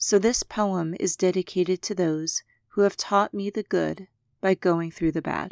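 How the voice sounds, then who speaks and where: With a normal speaking voice, a woman talks at a medium pitch and with fairly even intonation in a dry, close sound with no echo and a very clean recording with a silent background. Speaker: podcast host. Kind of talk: poem reading aloud.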